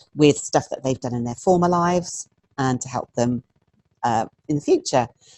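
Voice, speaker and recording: A woman speaks with a very deep, low pitch. Her pace is moderate and her pitch variation ordinary. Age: 60s. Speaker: stress and mindset therapist. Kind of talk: interview. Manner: hesitant fillers.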